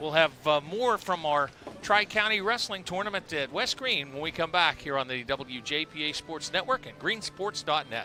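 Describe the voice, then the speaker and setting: Music plays in the background as a man speaks at a moderate pace and a fairly high pitch, with lively intonation and hardly any pauses. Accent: American. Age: 60s. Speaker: sports broadcaster. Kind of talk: live broadcast chat and sponsor reads. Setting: broadcast at wrestling tournament.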